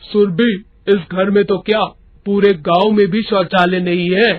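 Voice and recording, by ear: A man's cartoonish character voice, high-pitched, monotone and flat, at a moderate pace.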